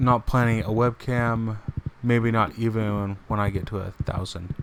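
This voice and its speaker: There is noticeable background noise as a man speaks at a fairly slow pace in a calm, relaxed tone. His medium-pitched voice stays monotone and flat. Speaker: game streamer. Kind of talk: casual gameplay stream chat.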